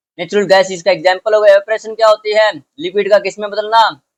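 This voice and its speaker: Recorded dry and close with no echo, a man speaks in a high pitch. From Haryana, India. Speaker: school science teacher. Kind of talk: lecture. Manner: informal, code-switching Hindi-English.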